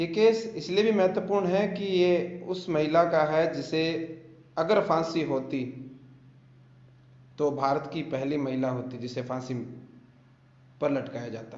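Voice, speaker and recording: A man's fairly high voice with a Rajasthani accent, ordinary pitch variation, long and frequent pauses, and audible room echo. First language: Bagri (speaking Hindi). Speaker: YouTuber and film director. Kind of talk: true crime storytelling on a live video.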